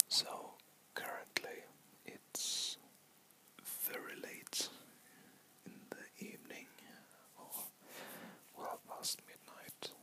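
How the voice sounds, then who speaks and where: Whispering in a relaxed tone at a very slow pace, the speaker leaves long, frequent pauses, with big swings in loudness and noticeable background noise. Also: man. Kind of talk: ASMR whispered ramble to camera. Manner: whispered, rambling, relaxed.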